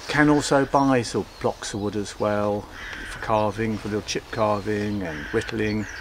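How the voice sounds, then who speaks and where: Noticeable noise sits behind the speaker. He is a man whose pitch moves in an ordinary way. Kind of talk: tutorial. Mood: relaxed, cheerful. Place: garden.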